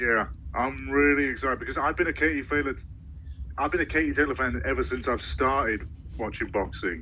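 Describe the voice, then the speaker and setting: Speaking fairly quickly, this man talks with a British accent. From Britain. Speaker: sports social media creator. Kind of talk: casual chat.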